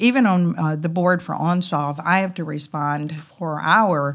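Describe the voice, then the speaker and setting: With fairly even intonation, a woman speaks in a very deep, low pitch. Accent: Southern US. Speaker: company president. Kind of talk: casual interview. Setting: conference.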